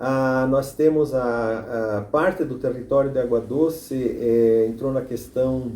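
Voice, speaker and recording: The recording has audible room echo. A man at medium pitch speaks with ordinary pitch variation. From southern Brazil, Santa Catarina. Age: 70s. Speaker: former mayor and local historian. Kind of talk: documentary interview. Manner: halting, with frequent repetitions.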